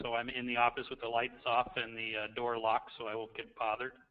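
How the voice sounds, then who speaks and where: Quiet and very fast, a man talks at a medium pitch. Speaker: school principal, doctoral student. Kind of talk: self-introduction in webinar. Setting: online webinar from office. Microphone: faint, too quiet.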